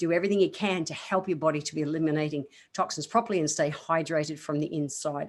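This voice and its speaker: In a very clean recording with a silent background, a woman talks very fast in a very deep, low pitch. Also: fairly even intonation. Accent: Australian. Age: 50s. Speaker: naturopath, podcast host. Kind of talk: health advice podcast. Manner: casual, chatty.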